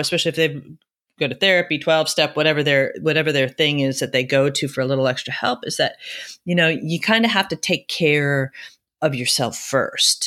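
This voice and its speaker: This voice has a bright, sharp tone and an American accent at a moderate pace. The recording is very clean, with a silent background. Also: woman. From US Northeast (Akron, near Buffalo, New York). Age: 50s. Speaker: entrepreneur and cave diver. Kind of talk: casual interview chat. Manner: halting, many repetitions and fillers.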